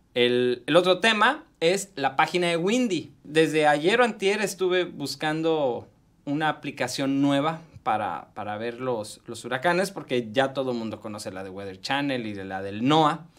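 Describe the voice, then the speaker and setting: This man talks at a fairly slow pace with a fairly high pitch. His loudness swings a lot, and his pitch ranges very widely. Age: 40s. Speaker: tech columnist; tech vlogger. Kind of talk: radio tech segment interview. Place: studio. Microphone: studio mic.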